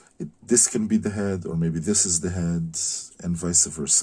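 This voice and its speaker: Dark, mellow in tone, a man's voice comes with a non-native accent. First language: not English. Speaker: concept artist teaching drawing. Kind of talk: tutorial. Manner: hesitant, many fillers.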